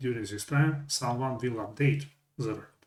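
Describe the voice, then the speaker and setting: A man's somewhat breathy voice at medium pitch, delivered at a moderate pace. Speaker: software tutorial presenter. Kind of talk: tutorial. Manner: hesitant, self-correcting.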